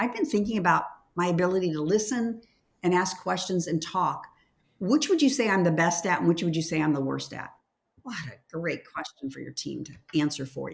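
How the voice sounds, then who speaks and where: With vocal fry and a fairly low pitch, a woman talks in an enthusiastic tone at a fairly quick pace, using lively intonation and big swings in loudness. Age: 70s. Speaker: leadership consultant and former nurse. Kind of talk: interview conversation.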